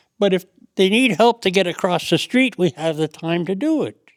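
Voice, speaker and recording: With a Canadian accent, a man speaks at a moderate pace in a dry, close sound with no echo. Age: 80s+. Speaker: war veteran, poppy volunteer. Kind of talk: interview answer.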